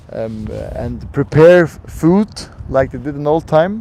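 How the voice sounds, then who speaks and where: This man talks at a fairly slow pace. He speaks with a Faroese accent. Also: big swings in loudness. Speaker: tour guide. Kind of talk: live tour commentary. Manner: halting.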